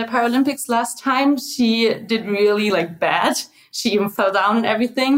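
A woman with a German accent speaks at a moderate pace in a fairly high voice. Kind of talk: interview.

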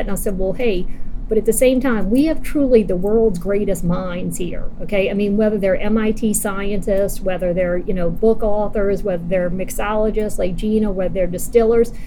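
A woman with a fairly high voice is heard through audible room echo and noticeable background noise. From New Orleans. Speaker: cocktail event founder. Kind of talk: casual interview. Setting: hotel in New Orleans.

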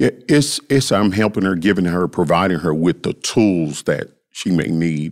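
A man's very deep, low voice with a Southern US accent, lively intonation and a moderate pace. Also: very clean recording, silent background. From US South, Memphis. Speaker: youth behavioral health worker. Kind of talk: interview.

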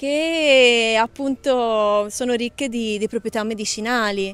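In a very clean recording with a silent background, a woman talks at a high pitch with ordinary pitch variation. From Tuscany, Italy. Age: young. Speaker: botanist. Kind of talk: interview. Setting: outdoors.

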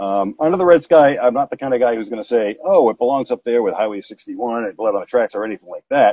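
Here a man talks at a very fast pace. His intonation is lively. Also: medium pitch for a man. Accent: American. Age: 40s. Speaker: music fan. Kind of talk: casual chat.

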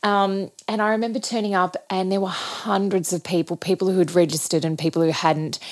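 With an Australian accent, a woman talks at a fairly quick pace and hardly pauses, her medium pitch showing ordinary variation. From Australia, regional Victoria. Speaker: ballet choreographer. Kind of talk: interview.

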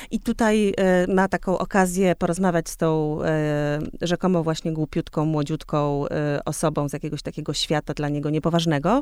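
An unremarkable speaking voice at a moderate pace, with ordinary pitch variation and hardly any pauses. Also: woman, fairly low pitch for a woman. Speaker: podcast host. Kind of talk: interview.

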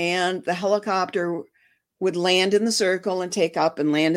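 With a Michigan accent, a woman speaks at a medium pitch with ordinary pitch variation. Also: very clean recording, silent background. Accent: US Midwest (Michigan). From Detroit, Michigan. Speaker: former sheriff's posse volunteer and horse owner. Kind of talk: interview. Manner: halting, many fillers.

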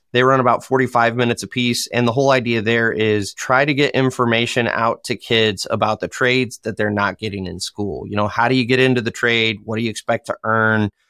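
A man speaks with a Michigan accent at a fairly quick pace, hardly pausing. His intonation is flat and monotone, and the sound is dry and close with no echo. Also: medium pitch for a man. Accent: US Midwest (Michigan). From Michigan, US. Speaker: dirt contractor and construction content creator. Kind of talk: casual interview chat.

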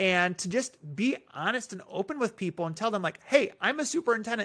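A man with a Midwestern American accent and lively intonation at a fairly quick pace, in a very clean recording with a silent background. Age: 30s. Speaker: school superintendent. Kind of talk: casual interview.

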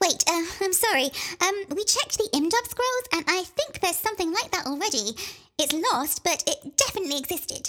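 Squeaky and extremely high-pitched, the put-on character voice moves at a moderate pace. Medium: audio drama.

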